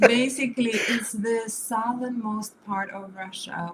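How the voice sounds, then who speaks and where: A woman with a non-native accent at a very slow pace, fairly even intonation, and noticeable background noise. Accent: noticeable foreign. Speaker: artist. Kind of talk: interview.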